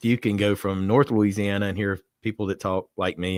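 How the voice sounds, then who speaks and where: A man with a Southern accent speaks in a very deep, low voice at a moderate pace with fairly even intonation. The recording is very clean with a silent background, dry and close with no echo. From US South, South Alabama (Atmore, near Mobile). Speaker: bourbon reviewer. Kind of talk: casual chat.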